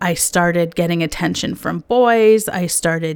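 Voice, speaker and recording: A woman in a Canadian accent, medium in pitch, with ordinary pitch variation. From Canada, Lebanese family. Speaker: podcast host, life coach. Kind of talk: personal storytelling monologue.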